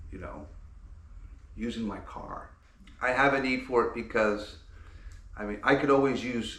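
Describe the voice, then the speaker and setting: Room echo can be heard as a man speaks at a moderate speed. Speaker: car-dwelling vlogger. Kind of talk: casual product unboxing. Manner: casual, rambling with fillers.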